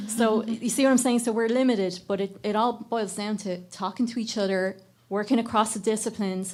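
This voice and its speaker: A woman speaks with an Irish accent. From Ireland. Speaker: microbiome researcher and educator. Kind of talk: panel discussion.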